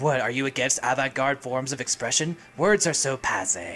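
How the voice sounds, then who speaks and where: Over clear background noise, a put-on character voice with low-to-middle pitch speaks at a moderate pace. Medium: game stream. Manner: sarcastic.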